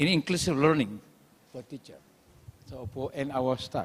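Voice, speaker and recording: A man with an Indonesian accent. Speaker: university lecturer. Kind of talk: conference presentation. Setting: auditorium. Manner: halting.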